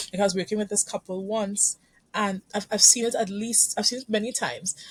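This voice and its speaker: Somewhat breathy and at a medium pitch, a woman with a Caribbean accent speaks at a fairly quick pace with fairly even intonation, the sound dry and close with no echo. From Trinidad and Tobago. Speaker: couples therapist. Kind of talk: podcast interview. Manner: halting, with frequent repetitions.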